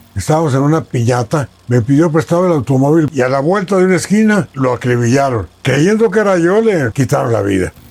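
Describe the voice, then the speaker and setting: A man with a fairly high pitch talks at a fairly quick pace, with hardly any pauses. His pitch swings very widely while his loudness stays very even. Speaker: radio journalist and broadcaster. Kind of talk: interview answer.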